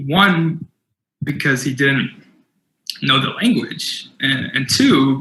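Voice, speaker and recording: The tone is bright and sharp, with vocal fry. The pace is fairly slow. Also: man. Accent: Californian. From US West Coast, San Jose, California. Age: 20s. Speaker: keynote speaker. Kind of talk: keynote talk. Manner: halting, with repetitions.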